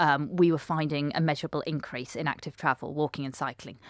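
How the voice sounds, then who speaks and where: In a British accent, a woman talks at a moderate pace in a very clean recording with a silent background and a dry, close sound with no echo. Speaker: transport researcher, academic. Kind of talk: interview answers, academic explanation.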